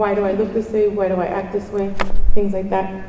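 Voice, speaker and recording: Noticeable background noise and audible room echo surround a woman talking at a medium pitch. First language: Spanish. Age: 50s. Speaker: conference speaker. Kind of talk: conference talk. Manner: animated.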